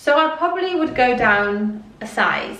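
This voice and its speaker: A woman's high voice swings very widely in pitch, with audible room echo and noticeable background noise. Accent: Welsh. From Wales. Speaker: fashion youtuber. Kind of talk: clothing haul review. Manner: animated.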